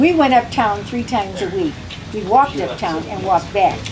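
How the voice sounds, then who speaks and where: A woman with an American accent speaks at a fairly quick pace. Noticeable background noise and audible room echo surround her. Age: 80s+. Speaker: long-time club member. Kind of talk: casual chat. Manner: animated.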